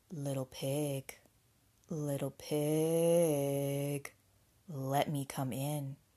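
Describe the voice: Using a put-on character voice, a woman speaks very slowly at a low pitch, with a dark, mellow tone and little pitch movement.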